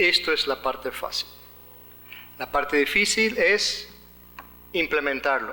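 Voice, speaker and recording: A man with an American accent speaks very slowly, with long, frequent pauses. Noticeable noise sits in the background. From United States. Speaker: legal expert speaker. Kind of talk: conference lecture.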